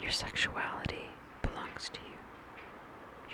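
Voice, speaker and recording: Whispering comes at a very slow pace amid noticeable background noise. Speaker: ASMR creator. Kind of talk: ASMR positive affirmations. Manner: slow, repeated phrases.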